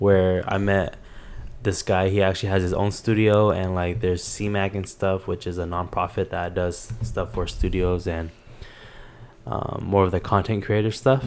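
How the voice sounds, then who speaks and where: Music plays in the background as a man speaks in a fairly low pitch. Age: young. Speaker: podcast host. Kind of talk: casual chat. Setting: home living room.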